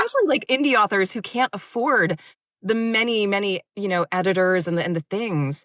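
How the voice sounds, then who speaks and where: A woman with an unremarkable speaking voice talks at a fairly quick pace and a medium pitch, recorded with a dry, close sound and no echo. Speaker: audiobook narrator. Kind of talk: interview answer. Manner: casual, chatty.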